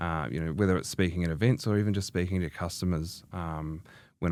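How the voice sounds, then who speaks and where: Over a silent background in a very clean recording, a man with a New Zealand accent speaks at a fairly quick pace with a very deep, low pitch and fairly even intonation. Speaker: chartered accountant in tech, general manager. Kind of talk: podcast interview. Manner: hesitant, many fillers.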